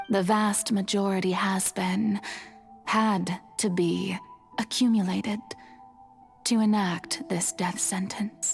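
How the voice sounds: In a put-on character voice, a woman speaks slowly at a medium pitch with vocal fry, a slightly husky edge and fairly even intonation, faint music behind her.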